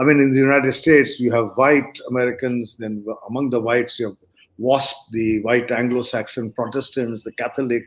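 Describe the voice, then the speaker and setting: A man speaks fairly quickly at medium pitch. His intonation is flat and monotone. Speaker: economist and author. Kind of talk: interview. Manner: hesitant, many fillers.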